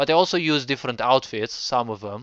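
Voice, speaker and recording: A man with a Romanian accent talks at a medium pitch. The background is quiet. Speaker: game developer streamer. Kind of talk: gameplay commentary. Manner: halting.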